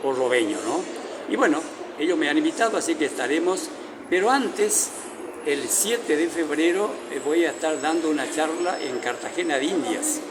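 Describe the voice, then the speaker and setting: Moderately paced male speech amid audible room echo and noticeable background noise. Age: 70s. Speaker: writer and journalist. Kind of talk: interview. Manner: halting, many fillers.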